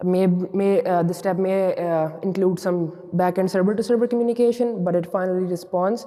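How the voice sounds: With faint background noise, a man talks at a moderate pace in a high voice with a dark, mellow tone and fairly even intonation.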